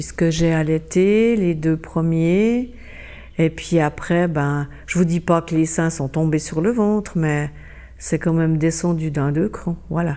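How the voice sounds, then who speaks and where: Very slow delivery with a dark, mellow tone and ordinary pitch variation. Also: woman, fairly low pitch for a woman. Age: 60s. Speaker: interviewee sharing cosmetic surgery experience. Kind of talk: testimony. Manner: halting, many filler words.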